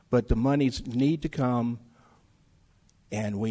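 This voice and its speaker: Fairly slow, fairly even speech from a man with a Tennessee accent, medium in pitch and dark, mellow in tone. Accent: Southern US (Tennessee). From Germantown, Tennessee. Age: 60s. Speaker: political candidate. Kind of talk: candidate debate.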